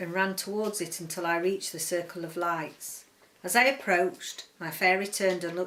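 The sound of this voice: An unforced reading voice carries the words.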